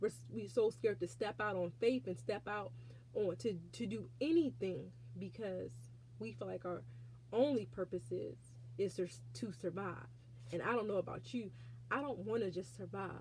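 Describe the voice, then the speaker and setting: With long, frequent pauses, a woman speaks at a fairly low pitch with vocal fry and very wide pitch swings. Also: moderate pace. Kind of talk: faith testimony. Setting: alone in prayer closet, self-recorded. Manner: halting.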